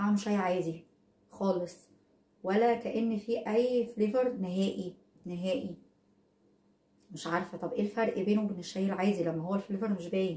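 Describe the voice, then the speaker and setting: With an Egyptian accent, a woman of medium pitch speaks at a moderate pace with fairly even intonation. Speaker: product reviewer vlogger. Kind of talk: casual product review vlog. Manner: conversational, hesitant fillers.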